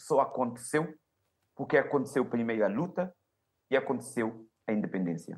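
A man speaks at a moderate speed, his pitch moving in an ordinary way. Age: 40s. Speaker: university professor. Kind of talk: televised panel debate. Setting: video call.

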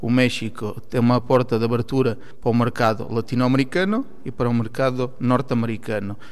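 A man with an unremarkable speaking voice speaks at a fairly quick pace with hardly any pauses. His medium pitch has fairly even intonation, and his loudness stays very even. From Portugal, Alentejo (Campo Maior). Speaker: import-export businessman. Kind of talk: panel discussion.

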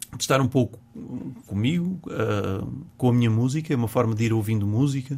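His tone dark and mellow and somewhat breathy, a man speaks at a fairly quick pace with long, frequent pauses, very even loudness, and ordinary pitch variation. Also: medium pitch for a man. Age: 50s. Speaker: music teacher and singer. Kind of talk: casual chat. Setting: studio. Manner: halting.

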